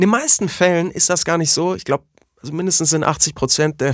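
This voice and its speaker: In a very clean recording with a silent background, a man talks at a very fast pace in an animated tone. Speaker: voice artist and podcast co-host. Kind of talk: casual chat.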